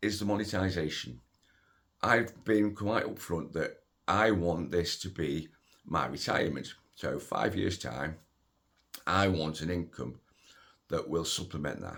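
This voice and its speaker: A man's very deep, low voice with vocal fry and lively intonation, at a fairly slow pace. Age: 60s. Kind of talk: casual talk to camera. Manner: hesitant, conversational.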